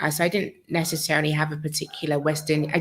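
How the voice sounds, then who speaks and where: A woman with a very deep, low voice speaks at a very fast pace and sounds somewhat breathy. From UK. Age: 40s. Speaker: channel host, relocation coach. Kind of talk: live-stream talk answering viewer questions. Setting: live stream. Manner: casual with frequent fillers.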